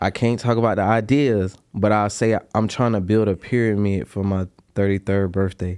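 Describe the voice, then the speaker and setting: An unremarkable speaking voice moves at a moderate pace with fairly even intonation. The background is quiet. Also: man, fairly low pitch for a man. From US South, North Carolina (Durham). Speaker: chef and robe maker. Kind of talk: casual chat.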